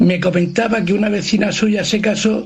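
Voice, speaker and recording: A man's high, monotone, flat voice at a moderate pace, with audible room echo and noticeable background noise. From Andalusia. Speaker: radio listener. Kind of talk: voice message. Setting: recorded voice note.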